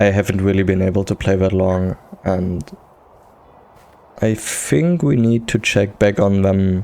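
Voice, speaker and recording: A man with a non-native accent is speaking. His pitch is fairly low and his pace fairly slow. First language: not English. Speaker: gaming youtuber. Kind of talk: casual gameplay commentary. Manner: halting.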